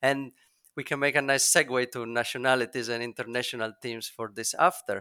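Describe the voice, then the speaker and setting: In a dry, close sound with no echo, a man with an Italian accent speaks at a medium pitch with fairly even intonation. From Italy. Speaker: SEO consultant. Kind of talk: interview.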